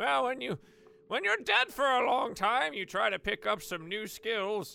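A man uses a put-on character voice, pitched high. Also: moderate pace. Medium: actual play. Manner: hesitant, rambling, friendly.

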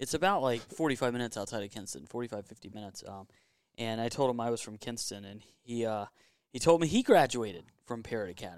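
A man with an Eastern North Carolina accent talks at a very fast pace and medium pitch, his intonation lively. His loudness swings widely, and the recording is very clean with a silent background. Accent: Eastern North Carolina Southern. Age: 30s. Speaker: NASCAR expert guest. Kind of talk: casual chat. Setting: man cave at home.

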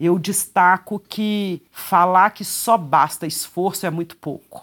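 A woman speaks with a medium pitch. The recording is very clean, with a silent background. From Brazil. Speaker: judge. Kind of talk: interview.

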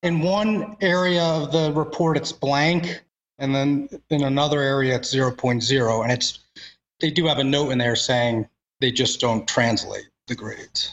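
A man with an unremarkable speaking voice talks at a moderate pace and fairly high pitch, with ordinary pitch variation and very even loudness. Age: 30s. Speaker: law school applicant. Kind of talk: question in webinar Q&A. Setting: online webinar.

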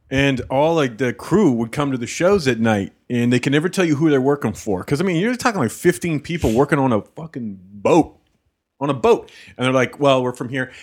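On a very clean recording with a silent background, a man with a plain, everyday voice speaks at a fairly high pitch with lively intonation. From Canada. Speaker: stand-up comedian. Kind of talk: casual chat. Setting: studio.

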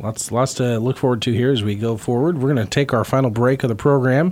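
It is an unremarkable speaking voice at a moderate pace, with ordinary pitch variation. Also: man. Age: 40s. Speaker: radio host. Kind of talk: radio interview. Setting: radio studio.

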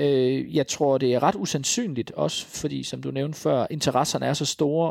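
In a dry, close recording with no echo and a silent background, a man speaks fairly slowly at a medium pitch with ordinary pitch variation, and the sound is very clean. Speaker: author and cultural journalist. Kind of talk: interview. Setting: recorded at guest's home. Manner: halting, many fillers and repetitions.

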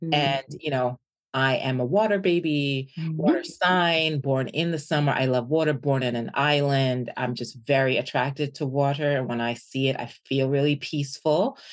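A woman speaks in an American accent. Her pitch is very deep and low. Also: ordinary pitch variation, moderate pace. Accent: American-sounding (noticeable in UK). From Jamaica, raised mostly in Washington DC. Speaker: business founder and university professor. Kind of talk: interview.

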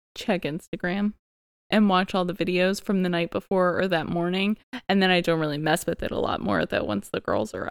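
A woman with an ordinary speaking voice talks at a fairly quick pace and a fairly low pitch with ordinary pitch variation, in a dry, close sound with no echo on a very clean recording with a silent background. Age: 30s. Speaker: podcast host, stay-at-home mom. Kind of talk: casual chat.

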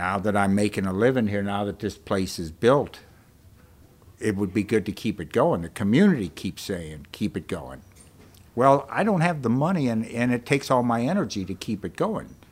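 On a very clean recording with a silent background, a man with a normal speaking voice and fairly low pitch talks at a moderate pace with lively intonation. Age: 60s. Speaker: bookstore owner. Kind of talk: interview. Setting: bookstore stage.

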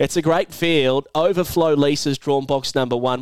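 A man with an Australian accent speaks at a fairly quick pace, his pitch fairly high. His tone is animated and enthusiastic. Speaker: podcast host. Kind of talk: podcast discussion and race preview. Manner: animated, enthusiastic.

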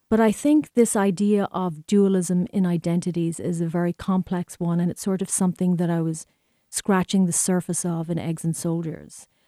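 A woman with an Irish accent, fairly low in pitch, at a moderate pace and with fairly even intonation, her dry, close sound free of echo against a quiet background. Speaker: filmmaker and professor. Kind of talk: interview about her work and Irish culture.

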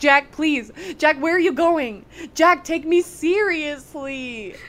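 In a put-on character voice, a high, whiny pitch comes at a fairly slow pace. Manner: whiny, mocking; pleading.

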